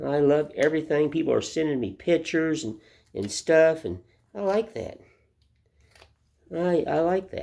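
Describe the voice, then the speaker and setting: Speaking with an Appalachian accent, a man with a dark, mellow tone and fairly high pitch uses lively intonation at a moderate pace, broken by long, frequent pauses. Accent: US Southern (Appalachian). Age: 60s. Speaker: woodcarver. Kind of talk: casual monologue; tutorial. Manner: casual, repetitive with fillers.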